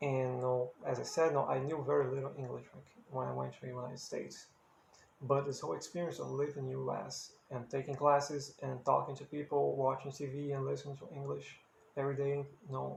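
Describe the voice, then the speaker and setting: Talking at a very fast pace, a man with a Brazilian accent makes big swings in loudness. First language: Portuguese. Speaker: musician and English-learning video creator. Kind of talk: casual talk to camera.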